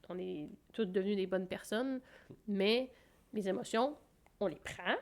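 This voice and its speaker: A woman with a medium pitch talks at a fairly slow pace with ordinary pitch variation. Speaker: podcast co-host. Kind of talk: casual chat.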